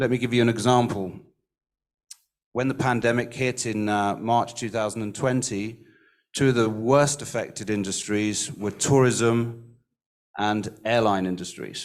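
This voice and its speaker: A man's medium-pitched voice with an English accent, fairly even intonation and a fairly slow pace, in audible room echo. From England. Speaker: recruitment industry speaker. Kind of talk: conference panel remarks. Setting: livestreamed summit.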